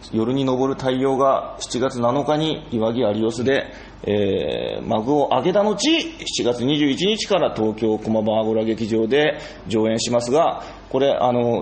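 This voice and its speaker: A man talks over noticeable background noise. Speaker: theatre company director and playwright. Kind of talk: casual chat. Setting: rehearsal space.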